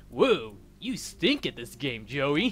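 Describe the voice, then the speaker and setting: A man's put-on character voice, fairly high-pitched, with very wide pitch swings and clear music in the background. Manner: taunting, laid-back.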